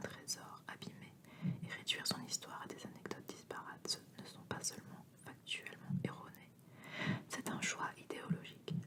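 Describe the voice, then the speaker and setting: A whisper moves at a fairly quick pace with noticeable background noise. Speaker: ASMR reader. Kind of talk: whispered book reading (ASMR). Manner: whispered.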